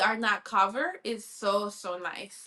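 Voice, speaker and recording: With a Spanish accent, the speaker uses a bright, sharp tone at a fairly slow pace. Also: woman. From Colombia. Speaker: sports reporter. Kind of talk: interview.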